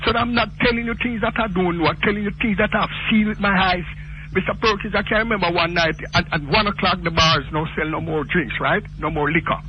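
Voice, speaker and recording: A man with a Jamaican accent speaks at a high pitch and fairly quick pace with ordinary pitch variation over noticeable background noise. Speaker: caller. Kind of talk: phone-in call. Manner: animated.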